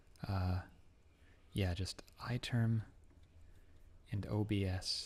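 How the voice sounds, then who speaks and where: Soft-spoken and calm in tone, a man talks at a very slow pace with a fairly low pitch. His voice is somewhat breathy, with fairly even intonation. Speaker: programmer live streaming. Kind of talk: live coding stream chat. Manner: soft, calm streaming voice.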